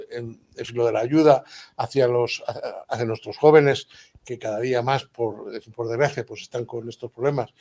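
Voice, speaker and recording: The voice has a dark, mellow tone, with fairly even intonation, a moderate pace and big swings in loudness. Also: man, medium pitch for a man. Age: 70s. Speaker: architect and organization president. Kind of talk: impromptu welcome speech. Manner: halting.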